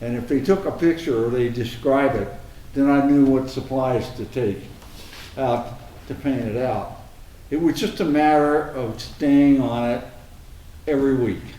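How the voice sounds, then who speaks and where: A man with an American accent and a medium pitch talks at a fairly slow pace with ordinary pitch variation. He leaves long, frequent pauses, and room echo is audible. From Arizona, US. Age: 70s. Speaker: anti-graffiti volunteer, retired engineer. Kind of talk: interview conversation. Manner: halting.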